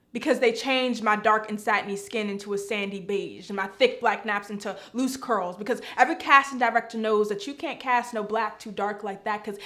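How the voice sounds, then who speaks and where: A woman speaks fairly quickly at a fairly high pitch with fairly even intonation, over noticeable background noise. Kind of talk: spoken word poetry performance.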